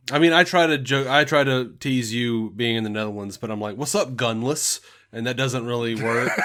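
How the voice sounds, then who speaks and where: A man with a Southern US accent speaks with ordinary pitch variation over noticeable background noise. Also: medium pitch for a man, moderate pace. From US South, Alabama. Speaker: podcast host. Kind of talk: casual chat.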